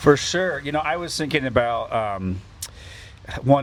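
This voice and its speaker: Behind this male voice, background noise is noticeable. The delivery moves along at a moderate pace. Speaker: podcast host. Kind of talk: casual chat. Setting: on a porch, rainy day. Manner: loud.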